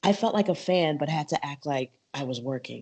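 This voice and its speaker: This woman has a very deep, low voice and an animated tone. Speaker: MMA podcaster and journalist. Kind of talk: interview.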